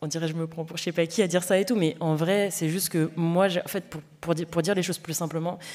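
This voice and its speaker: Her pitch is fairly low. The woman's intonation stays fairly even. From Paris banlieue, Seine-Saint-Denis (93). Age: young. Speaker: novelist. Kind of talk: festival panel discussion. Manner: halting, many fillers.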